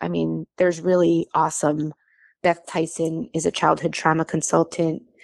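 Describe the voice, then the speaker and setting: In a dry, close recording with no echo, very clean and with a silent background, a woman with an American accent speaks at a moderate pace. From US Midwest (Naperville, Illinois suburb of Chicago). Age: 40s. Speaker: adoptee sharing her story. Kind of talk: interview testimony.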